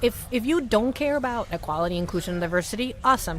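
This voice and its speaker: An animated woman with an American accent, fairly high in pitch, talking at a very fast pace with lively intonation. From Latin America. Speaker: startup company staff member. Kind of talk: interview conversation. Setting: booth at a venue with others.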